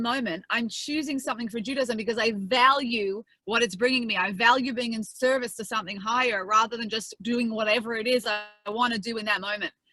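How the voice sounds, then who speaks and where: Very fast speech from a fairly high-pitched woman with an Australian accent and ordinary pitch variation. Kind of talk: lecture.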